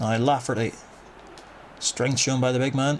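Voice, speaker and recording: Someone with a strong Northern Irish accent talks at a fairly quick pace. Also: man. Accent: thick Northern Irish. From Northern Ireland. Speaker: gaming youtuber. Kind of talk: gameplay commentary. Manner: animated.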